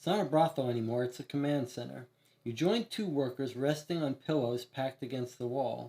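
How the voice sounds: A natural reading voice with ordinary pitch variation carries through the clip.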